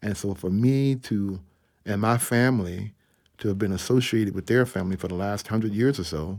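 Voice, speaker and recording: A man with an American accent uses a plain, everyday voice, fairly low in pitch with ordinary pitch variation, at a moderate pace on a very clean recording with a silent background. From US South, Atlanta, Georgia. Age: 50s. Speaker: jazz trumpeter and professor. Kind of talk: interview.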